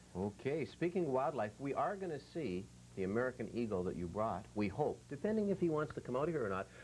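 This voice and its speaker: A man talking at a very fast pace, with very wide pitch swings and vocal fry. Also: medium pitch for a man. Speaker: TV host. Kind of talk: TV show hosting.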